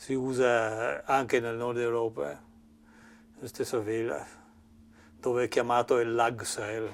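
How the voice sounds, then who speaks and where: A man with a slight English accent, ordinary pitch variation, and long, frequent pauses. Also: medium pitch for a man, fairly slow pace. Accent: slight English accent in Italian. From Cornwall, England. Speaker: boat builder, carpenter. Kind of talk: workshop tour explanation. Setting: boatbuilding workshop. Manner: halting, many fillers and restarts.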